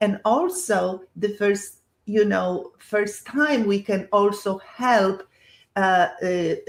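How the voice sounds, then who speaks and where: At a very slow pace, a woman with a Polish accent talks at a medium pitch with ordinary pitch variation. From Poland. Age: 70s. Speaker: health entrepreneur, former professor. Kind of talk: webinar presentation. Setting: online webinar. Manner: halting, many fillers.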